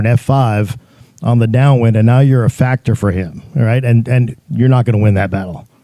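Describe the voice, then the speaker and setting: With a dark, mellow tone, a man speaks at a fairly quick pace. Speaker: air traffic controller. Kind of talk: presentation to pilots. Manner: fast.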